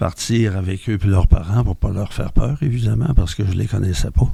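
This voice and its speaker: A man with a Quebec accent talks at a moderate pace in a fairly low pitch. His tone is dark and mellow, with vocal fry. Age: 70s. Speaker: mental health centre member. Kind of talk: testimony.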